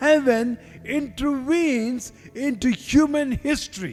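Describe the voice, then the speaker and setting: The speaker talks at a very slow pace. Music plays in the background. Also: man. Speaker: preacher. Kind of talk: sermon, preaching to a congregation. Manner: pausing for line-by-line translation.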